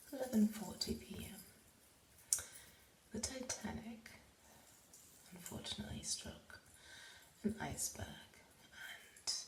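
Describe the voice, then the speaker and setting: Whispering in a relaxed tone, a woman speaks at a fairly slow pace with long, frequent pauses and big swings in loudness. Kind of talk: ASMR rambling, casual talk about Titanic memorabilia. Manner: soft, relaxed, ASMR style.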